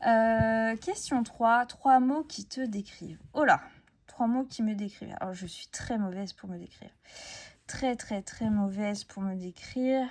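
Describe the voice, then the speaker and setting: A woman speaks very slowly in a somewhat breathy, fairly high voice, with ordinary pitch variation and big swings in loudness. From France, Essonne countryside. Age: 30s. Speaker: crafts YouTuber. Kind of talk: casual chat. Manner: hesitant, many fillers.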